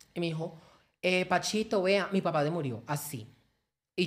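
This woman speaks at a moderate pace. Her pitch variation is ordinary. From Colombia, Valle del Cauca. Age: 20s. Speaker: social media content creator. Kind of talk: personal testimony interview. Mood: emotional, recounting father's death. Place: studio. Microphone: studio mic.

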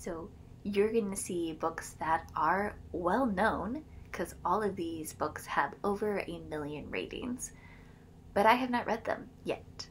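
There is vocal fry and ordinary pitch variation, with light background noise. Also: woman. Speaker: book vlogger. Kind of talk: casual vlog chat. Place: home room. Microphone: phone near.

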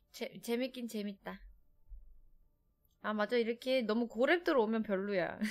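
A woman's fairly high voice in a Seoul accent, at a very slow pace with ordinary pitch variation, over a quiet background. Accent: Seoul Korean. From Seoul, South Korea. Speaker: game streamer. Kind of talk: casual chat. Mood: relaxed, chatty. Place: home room. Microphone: studio mic.

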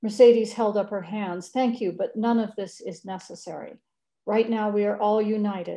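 With fairly even intonation, someone is reading aloud in a natural voice while the background stays quiet.

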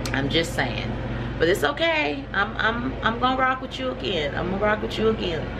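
A woman talks at a moderate pace. Loud background noise is present behind her. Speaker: hemp farmer and vlogger. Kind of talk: casual vlog. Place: home room.

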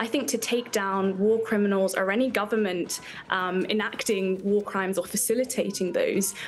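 A woman with a British accent speaks at a moderate pace. Her intonation is fairly even, with light background noise behind it. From UK. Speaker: activist. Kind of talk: interview answer. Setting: live remote interview. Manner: passionate, fiery, urgent, declamatory. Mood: earnest, political conviction. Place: home room.

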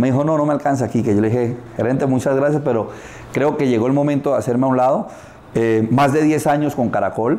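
Delivered at a very fast pace, a man's speech keeps very even loudness and fairly even intonation. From Colombia, Barrancabermeja (Santander). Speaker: advertising executive and motivational speaker. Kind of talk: interview. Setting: karaoke bar. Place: studio.

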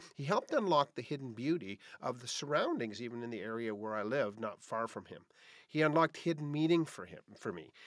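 The sound is dry with no echo, over a quiet background. A man talks at a fairly quick pace with lively intonation. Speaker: podcast host. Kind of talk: podcast monologue. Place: home room.

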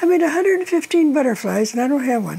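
With vocal fry and a dark, mellow tone, the voice moves fast through big pitch swings. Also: woman, high pitch for a woman.

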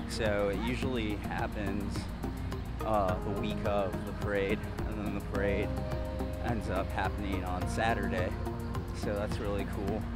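A man speaks at a fairly slow pace with long, frequent pauses, his voice dry and without echo against loud music in the background. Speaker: neighborhood tour vlogger. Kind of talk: casual vlog chat. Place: street. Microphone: phone near.

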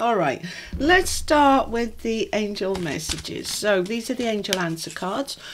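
A woman speaks at a fairly slow pace. Noticeable background noise can be heard. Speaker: tarot reader. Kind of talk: casual reading intro to viewers. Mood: warm, glad to be back. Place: home room. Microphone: phone near.

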